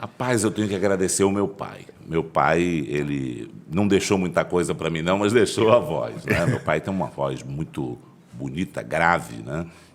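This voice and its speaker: A man with a very deep, low voice, lively intonation and a fairly slow pace. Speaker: pastor and political candidate. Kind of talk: interview.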